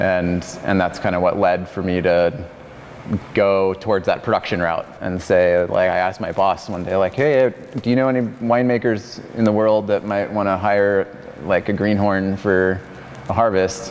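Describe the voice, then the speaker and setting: Over noticeable background noise, a man with an American accent speaks at a moderate pace and a fairly low pitch with fairly even intonation. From Arizona. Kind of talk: casual interview.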